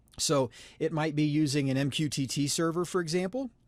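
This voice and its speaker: A man with a slight West Virginia accent, a fairly high voice and lively intonation. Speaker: wireless networking instructor. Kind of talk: webinar presentation. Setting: online webinar. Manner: many fillers (uh, um).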